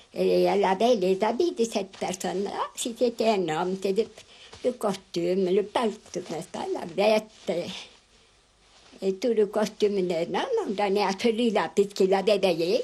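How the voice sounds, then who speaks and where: There is noticeable background noise as a woman talks at a fairly slow pace. Her pitch sits in the medium range. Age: 80s+. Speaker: elderly rural interviewee. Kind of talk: interview. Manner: halting.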